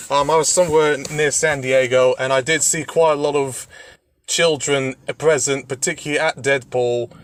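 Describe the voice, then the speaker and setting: A man with a British accent, a fairly high pitch, flat monotone intonation and a moderate pace. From Britain. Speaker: podcast guest discussing film ratings. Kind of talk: casual chat.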